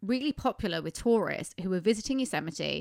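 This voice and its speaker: In a dry, close sound with no echo, a woman with a British accent races along at a very fast pace, her medium-pitched voice showing vocal fry and lively intonation. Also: very clean recording, silent background. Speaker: podcast host. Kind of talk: casual chat. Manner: chatty, giggly, interrupting.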